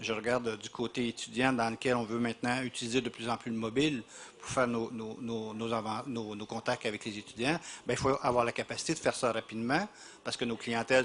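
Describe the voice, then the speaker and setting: Delivered at a fairly quick pace, a man's speech has fairly even intonation. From Quebec. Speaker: university representative, panelist. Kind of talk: panel discussion. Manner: halting, many repetitions.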